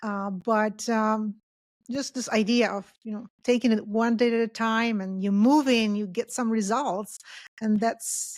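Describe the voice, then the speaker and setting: The recording is very clean, with a silent background. A woman with a Polish accent speaks at a fairly high pitch and a fairly slow pace. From Poland. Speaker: professor. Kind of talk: podcast interview.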